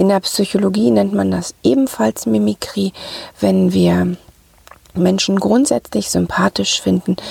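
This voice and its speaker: A woman speaks at a very slow pace with a dry, close sound with no echo, though noticeable background noise is present. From Ruhr area, Germany. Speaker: podcast host, sales psychology coach. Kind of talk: solo podcast talk.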